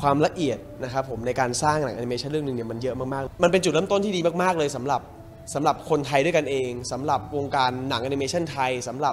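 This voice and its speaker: The speaker uses ordinary pitch variation, with light background noise behind. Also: man. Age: young. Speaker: actor. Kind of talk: interview answer. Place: hall.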